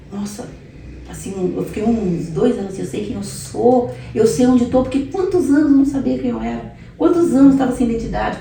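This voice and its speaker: A woman's fairly high voice with very wide pitch swings, plus noticeable background noise and audible room echo. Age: 60s. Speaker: pastor giving her life testimony. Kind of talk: testimony.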